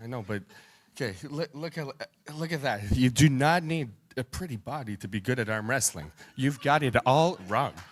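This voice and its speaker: A man talks in a plain, everyday voice at a medium pitch. His intonation is lively and his pace moderate. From Canada. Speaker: arm wrestler. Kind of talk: press conference trash talk. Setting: hotel press conference.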